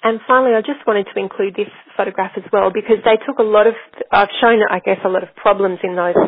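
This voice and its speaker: With an Australian accent, a woman of medium pitch speaks at a fairly quick pace with fairly even intonation. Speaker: researcher presenting a case study. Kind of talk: webinar lecture presentation. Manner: hesitant, many fillers and restarts.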